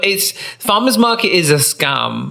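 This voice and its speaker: A man with lively intonation talks over noticeable background noise. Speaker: podcast co-host; drag queen. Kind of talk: casual chat. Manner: animated.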